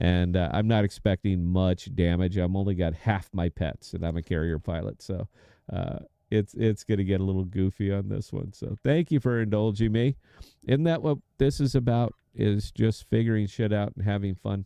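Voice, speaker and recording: This man has a normal speaking voice, fairly low in pitch, with an American accent. He talks at a moderate pace with ordinary pitch variation. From United States. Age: 50s. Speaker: game streamer and podcaster. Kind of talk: live gameplay stream commentary. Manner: casual, conversational.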